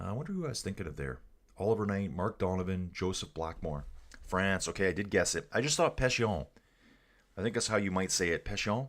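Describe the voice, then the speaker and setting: A man with a Canadian accent, fairly low in pitch, at a very fast pace with lively intonation, in a very clean recording against a silent background. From Canada. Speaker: cycling livestream commentator. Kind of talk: live commentary with chat reading. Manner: casual, animated.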